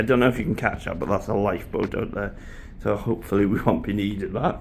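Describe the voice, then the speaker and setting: Very fast speech from a man at a fairly low pitch, with ordinary pitch variation. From Wales. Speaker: travel vlogger. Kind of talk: ship tour vlog. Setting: walking around a cruise ship. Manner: casual, chatty.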